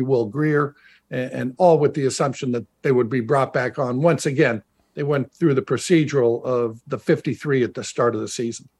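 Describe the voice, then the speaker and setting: At a moderate pace, a man speaks in a plain, everyday voice with medium pitch and fairly even intonation, the sound dry and close with no echo. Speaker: former NFL player and radio analyst. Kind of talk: casual chat.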